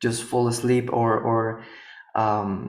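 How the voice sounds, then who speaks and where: A man speaking very slowly in a monotone, flat delivery, with audible room echo and noticeable background noise. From Paraguay. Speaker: yoga and healing therapist. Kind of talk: interview conversation. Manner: halting, many repetitions.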